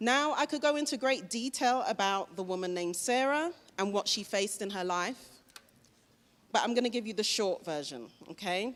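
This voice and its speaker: With a British accent, a woman speaks at a moderate pace, her fairly high pitch swinging very widely, on a very clean recording with a silent background. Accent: British accent, noticeable. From London, England. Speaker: motivational speaker. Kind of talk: school assembly talk. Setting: school assembly hall with students.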